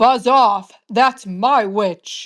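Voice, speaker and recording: A put-on character voice, fairly high-pitched, croaky, growling and shrill. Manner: gruff, dripping.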